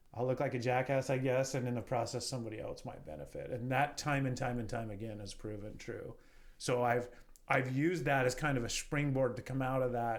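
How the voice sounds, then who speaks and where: A man with a western US accent talks at a fairly quick pace, medium in pitch and fairly even in intonation, with audible room echo. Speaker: real estate entrepreneur. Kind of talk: podcast interview.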